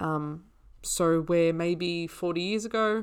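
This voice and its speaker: A woman with an Australian accent and a fairly low pitch, ordinary pitch variation, in a very clean recording with a silent background. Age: 20s. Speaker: naturopath and podcast host. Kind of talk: solo educational podcast. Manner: casual, conversational with fillers.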